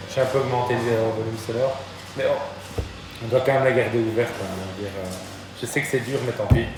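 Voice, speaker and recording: Amid noticeable background noise and audible room echo, a man talks at a moderate pace with ordinary pitch variation and long, frequent pauses. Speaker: physics teacher. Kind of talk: classroom lesson. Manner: loud.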